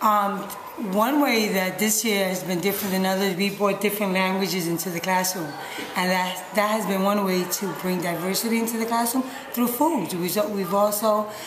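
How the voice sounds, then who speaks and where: A woman's medium-pitched voice with a New York accent, fairly even intonation, audible room echo and noticeable background noise. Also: moderate pace. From New York City, Puerto Rican parents. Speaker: middle school science teacher. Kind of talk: interview.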